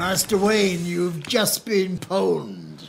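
A put-on character voice, female-sounding and raspy. Its pitch is fairly low. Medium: comedy sketch. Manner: polite, deadpan.

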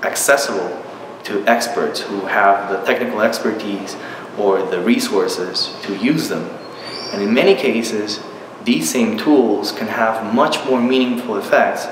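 A man's fairly slow speech with ordinary pitch variation, audible room echo, and noticeable background noise. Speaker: university professor. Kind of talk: interview answer. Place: home room.

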